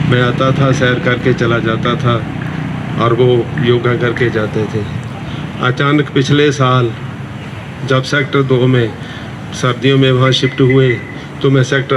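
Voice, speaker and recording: A man at medium pitch speaks in a monotone, flat intonation over noticeable background noise. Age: 70s. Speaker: yoga class participant. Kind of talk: testimony.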